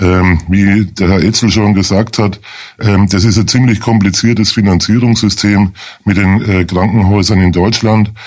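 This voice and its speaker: A plain, everyday voice from a man with a fairly low pitch and fairly even intonation. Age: 50s. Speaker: lawyer, chair of a hospital support association. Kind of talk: radio interview.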